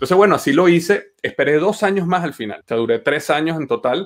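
A man speaks at a very fast pace, his intonation lively, with a quiet background behind him. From Venezuela. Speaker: entrepreneur and engineer; podcast guest. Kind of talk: interview. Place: home room. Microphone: webcam.

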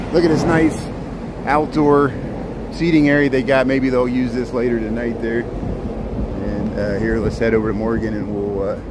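A man talks at a moderate pace with ordinary pitch variation, the sound dry with no echo and loud noise in the background. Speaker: city walking-tour streamer. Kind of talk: casual live-stream walking commentary. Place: street. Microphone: phone near.

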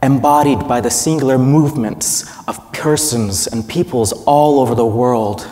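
A man's dark, mellow tone comes through at a moderate pace. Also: medium pitch for a man, ordinary pitch variation.

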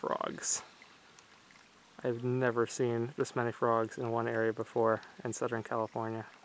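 A man speaks at a moderate pace in a monotone, flat delivery, with dry sound, no echo and light background noise. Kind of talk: casual vlog chat. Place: open country. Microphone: phone near.

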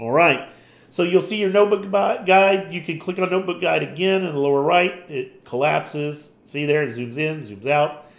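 A man speaks in a plain, everyday voice, pitched fairly high. His pace is moderate and his pitch varies in an ordinary way. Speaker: tutorial presenter. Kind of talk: tutorial. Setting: screen recording. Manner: casual, informal.

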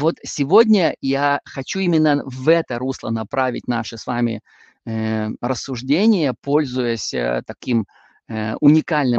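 In a dry sound with no echo, a man speaks at a fairly slow pace and medium pitch with ordinary pitch variation. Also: quiet background. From northwestern Russia. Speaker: Bible teacher. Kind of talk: lecture. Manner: hesitant with frequent filler sounds. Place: home room. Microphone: video call.

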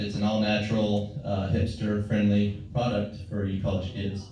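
Strong room echo and light background noise surround a man speaking at a fairly low pitch. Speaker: stand-up comedian. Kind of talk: stand-up comedy set. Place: stage. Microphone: pa.

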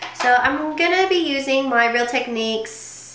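A woman speaks in an animated tone. Noticeable background noise runs behind her. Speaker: makeup vlogger. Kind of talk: tutorial. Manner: animated, chatty.

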